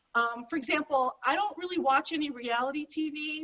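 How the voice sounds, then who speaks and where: A woman talks loudly and at a fairly quick pace in an American accent. Her pitch shows ordinary variation. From Chicago. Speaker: stand-up comedian. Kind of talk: stand-up. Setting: video call.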